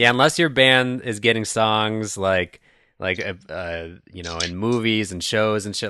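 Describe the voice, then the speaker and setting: A man with a Midwestern US accent speaks at a fairly low pitch in a bright, sharp tone. The background is quiet. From Chicago suburbs, US Midwest. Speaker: podcast host. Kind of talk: casual interview conversation. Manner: casual, friendly.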